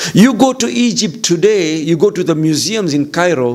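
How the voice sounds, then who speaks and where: A man with an East African accent, high-pitched, with lively intonation at a moderate pace over noticeable background noise. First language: Swahili. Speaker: visiting Islamic lecturer. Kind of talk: religious lecture.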